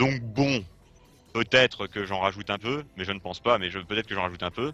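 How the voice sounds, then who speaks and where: Music behind a man's fairly low voice, moving at a fairly quick pace. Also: ordinary pitch variation. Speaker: cartoon reviewer. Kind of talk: live stream review. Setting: live stream. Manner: halting.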